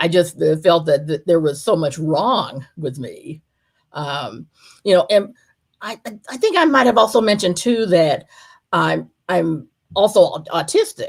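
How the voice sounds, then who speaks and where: A woman with an American accent speaks at a fairly slow pace in a fairly low pitch with vocal fry. Her pitch swings very widely and her loudness shifts a lot, on a very clean recording with a silent background. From US South. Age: 60s. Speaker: polyamory workshop speaker. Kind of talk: interview. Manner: halting, many fillers and restarts.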